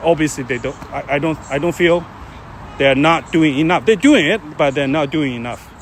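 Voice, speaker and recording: Over noticeable background noise, a man with a Chinese accent and fairly high pitch talks at a moderate pace, with ordinary pitch variation. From China. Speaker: live streamer. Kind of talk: casual chat. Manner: halting.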